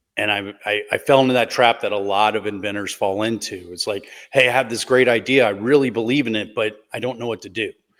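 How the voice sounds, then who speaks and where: At a very fast pace, a man with an American accent talks in a medium pitch. His intonation stays fairly even. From US South, Gulf Coast of Mississippi. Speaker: patent attorney. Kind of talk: interview storytelling.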